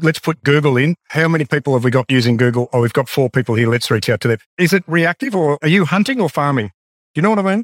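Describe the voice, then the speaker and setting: Here a man with an Australian accent speaks at a very fast pace and a fairly high pitch, using lively intonation. His loudness stays very even, and the sound is dry and close with no echo. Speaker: podcast host and sales trainer. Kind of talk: interview.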